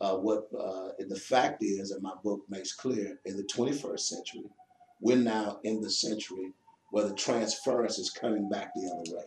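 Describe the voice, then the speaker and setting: Against noticeable background noise, a man with a fairly low voice talks at a moderate pace and with fairly even intonation. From Chicago, US Midwest. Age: 50s. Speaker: pastor and author. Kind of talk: interview. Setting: pastor's office.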